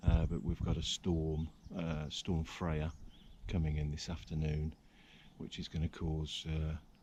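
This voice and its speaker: Quiet and moderate in pace, a man speaks with a very deep, low pitch. His tone is dark and mellow. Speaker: angling vlogger. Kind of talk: outdoor vlog narration. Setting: outdoors by a river. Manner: quiet, keeping voice down; hesitant, many fillers.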